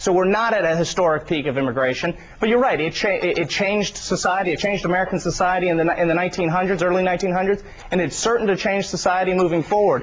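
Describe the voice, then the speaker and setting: A man's high voice at a very fast pace, with hardly any pauses, very even loudness and ordinary pitch variation, over noticeable background noise. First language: Spanish. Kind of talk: TV news debate. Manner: halting, repeats words.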